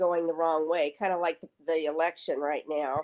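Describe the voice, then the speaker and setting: A woman with an unremarkable speaking voice talks at a moderate pace in a fairly low pitch, with an American accent. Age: 60s. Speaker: state senator. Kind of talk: interview.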